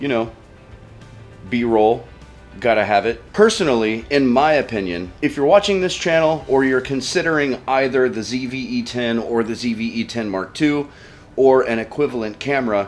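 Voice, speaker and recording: A man at medium pitch with ordinary pitch variation and a moderate pace, over noticeable background noise. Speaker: camera reviewer. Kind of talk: casual rant to camera. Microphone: echoey room.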